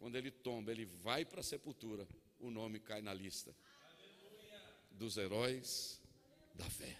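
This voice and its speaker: The tone is bright and sharp. It is also animated. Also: man. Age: 50s. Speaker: pastor. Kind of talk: sermon. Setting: church.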